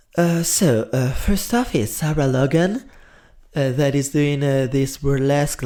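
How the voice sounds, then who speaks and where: Using lively intonation, a man with an Italian accent and a fairly high, dark, mellow voice speaks at a fairly slow pace. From Italy. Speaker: drag performer and TV show commentator. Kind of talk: casual commentary vlog. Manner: hesitant, with fillers and self-corrections.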